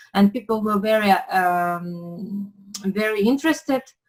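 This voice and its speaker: Somewhat breathy and fairly high-pitched, a woman with a Ukrainian accent speaks at a fairly slow pace. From Ukraine. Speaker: pastry chef. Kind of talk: interview. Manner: halting, many fillers.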